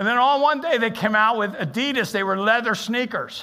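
A man projects a raised voice at an extremely high pitch with a bright, sharp tone. Room echo is audible. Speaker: interim pastor. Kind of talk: sermon. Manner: halting.

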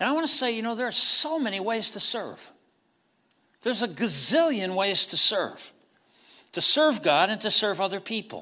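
Raising and projecting his voice, a man with a high pitch and a bright, sharp tone keeps a moderate pace broken by long, frequent pauses. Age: 60s. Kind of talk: sermon. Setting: church.

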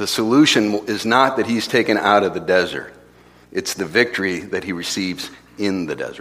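An unremarkable speaking voice from a man comes at a fairly low pitch, with ordinary pitch variation and a moderate pace. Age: 40s. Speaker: pastor. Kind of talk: sermon.

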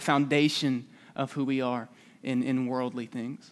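In a very clean recording with a silent background, a man with a Southern US accent speaks with fairly even intonation. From Alabama, US South. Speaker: preacher. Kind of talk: sermon. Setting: church.

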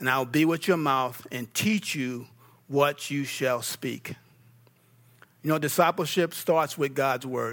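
A man with an American accent, fairly high pitch and ordinary pitch variation, at a fairly slow pace with long, frequent pauses, on a very clean recording with a silent background. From New York. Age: 50s. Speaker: pastor. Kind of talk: sermon. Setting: church.

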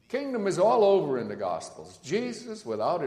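A man's voice over noticeable background noise. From Netherlands. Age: 60s. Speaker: guest preacher, seminary professor. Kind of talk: sermon. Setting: church.

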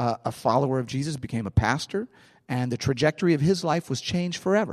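With a St. Louis accent, a man speaks at a fairly high pitch in a dry, close sound with no echo. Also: quiet background. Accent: St. Louis Midwestern American. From US Midwest, St. Louis. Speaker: pastor. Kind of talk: sermon.

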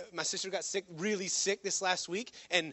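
A man with fairly even intonation. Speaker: pastor. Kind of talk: sermon. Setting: church. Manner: fast.

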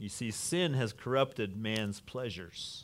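A man speaks in an ordinary speaking voice at medium pitch and a fairly slow pace, with ordinary pitch variation. The recording is very clean with a silent background. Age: 50s. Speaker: pastor. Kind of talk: sermon.

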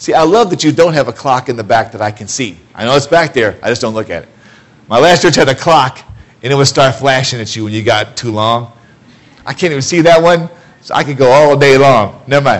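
With an American accent, a man speaks fairly quickly at a medium pitch with ordinary pitch variation, against noticeable background noise. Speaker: preacher. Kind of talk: sermon. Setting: church. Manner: loud, animated.

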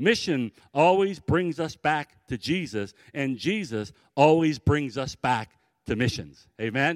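A man with a normal speaking voice and a fairly high pitch speaks with an American accent in a very clean recording with a silent background and a dry, close sound with no echo. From US Midwest, Cleveland Ohio. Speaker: missionary. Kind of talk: sermon.

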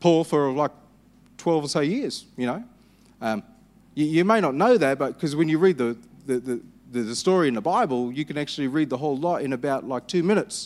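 This man has an Australian accent and a fairly high pitch, with lively intonation at a fairly quick pace broken by long, frequent pauses. The recording is very clean with a silent background. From Western Australia. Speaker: pastor. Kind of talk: sermon. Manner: hesitant, frequent fillers.

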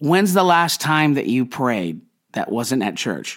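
On a very clean recording with a silent background, a man's voice swings very widely in pitch. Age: 30s. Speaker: pastor. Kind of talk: sermon. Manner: conversational.

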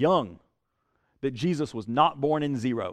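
At a moderate pace, a man with a Southern US accent speaks at a fairly high pitch with ordinary pitch variation. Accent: Southern US (Georgia). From US South, South Georgia. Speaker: pastor. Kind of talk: sermon. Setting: church. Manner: halting, many fillers and repeats.

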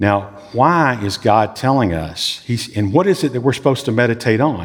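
A man talks with a Southern US accent. His pitch swings very widely. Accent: Southern US drawl. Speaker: pastor. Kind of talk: sermon. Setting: church.

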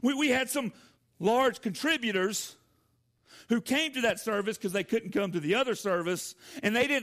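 This very clean recording has a silent background. The voice carries a Southern US accent, ordinary pitch variation and a moderate pace. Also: man. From US South, Georgia. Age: 40s. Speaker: pastor. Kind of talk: sermon. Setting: church.

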